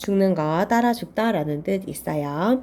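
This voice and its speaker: A woman talks at a fairly slow pace, her pitch medium with ordinary variation. Her tone is dark and mellow. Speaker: Chinese character exam tutor. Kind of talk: lecture.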